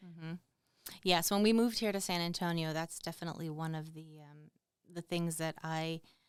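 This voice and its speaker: A woman speaks with a fairly low pitch and fairly even intonation, her loudness swinging widely. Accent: Boston. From Boston. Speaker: army veteran and military spouse. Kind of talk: podcast interview.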